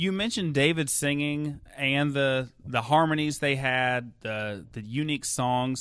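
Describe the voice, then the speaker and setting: A man with a normal speaking voice, fairly high pitch and ordinary pitch variation, at a fairly slow pace with hardly any pauses, on a very clean recording with a silent background. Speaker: podcast host interviewer. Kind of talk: interview.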